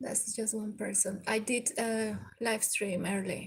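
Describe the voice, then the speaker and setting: A woman's somewhat breathy, medium-pitched voice with a Venezuelan accent, monotone and flat in intonation, at a fairly slow pace. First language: Spanish. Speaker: live streamer. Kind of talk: casual live stream chat. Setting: indoors by a window overlooking the sea. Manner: halting.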